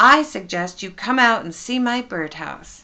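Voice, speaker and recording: In a put-on character voice, a woman projects a raised, raspy, fairly high-pitched voice with lively intonation at a moderate pace against a quiet background. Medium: read story. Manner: warm, affectionate.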